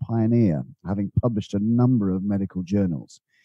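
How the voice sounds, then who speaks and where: The speaker is a man. He has a dark, mellow tone. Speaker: podcast host and financial planner. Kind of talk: interview.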